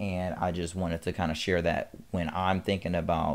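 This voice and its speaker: With an American accent, a man talks in a very deep, low voice. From US South. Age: 20s. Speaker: fitness YouTuber and incoming physical therapy student. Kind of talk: pre-recorded motivational monologue. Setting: solo home recording. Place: home room. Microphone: studio mic.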